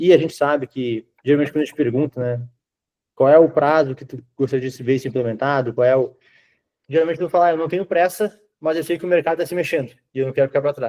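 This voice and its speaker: Talking very fast, a man with a fairly high pitch and a dark, mellow tone shows ordinary pitch variation and big swings in loudness, recorded dry and close with no echo. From southern Brazil, Rio Grande do Sul. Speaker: IT consultant / sales. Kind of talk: sales pitch on video call.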